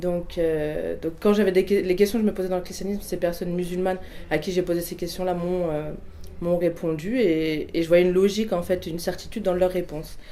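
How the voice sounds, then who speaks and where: Fairly even intonation marks this fairly quick delivery. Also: woman. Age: 20s. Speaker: religious convert. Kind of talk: testimony. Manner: halting, many fillers and restarts.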